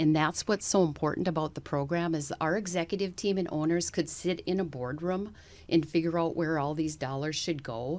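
A woman with a North Dakota accent speaks at a fairly quick pace in a very deep, low voice with ordinary pitch variation, on a very clean recording with a silent background. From North Dakota, US. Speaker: bank executive. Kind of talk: interview.

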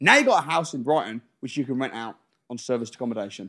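The recording is very clean, with a silent background. A man talks at a very fast pace in a medium pitch with fairly even intonation. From English Midlands, Wolverhampton. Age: 30s. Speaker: property investor and educator. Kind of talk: casual chat.

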